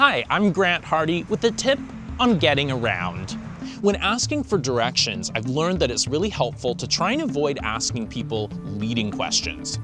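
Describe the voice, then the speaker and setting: A man at a moderate pace over clear background music, the sound dry with no echo. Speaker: presenter. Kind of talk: tutorial. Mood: cheerful, friendly. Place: street.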